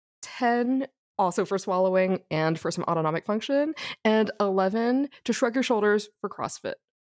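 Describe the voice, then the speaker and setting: At a moderate pace, a woman with a normal speaking voice and medium pitch uses lively intonation, recorded with a dry, close sound and no echo. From Texas, Houston. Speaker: neurologist. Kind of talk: casual chat.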